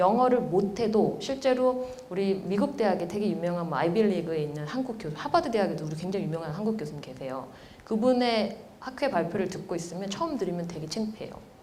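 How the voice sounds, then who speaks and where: A woman's medium-pitched voice at a very fast pace with lively intonation, amid audible room echo and noticeable background noise. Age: 40s. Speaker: professor. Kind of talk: lecture.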